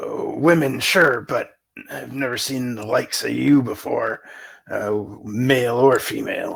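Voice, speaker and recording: A gruff, raspy, put-on character voice at a moderate pace. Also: man. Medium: actual play. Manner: gruff, old-fashioned dwarven speech.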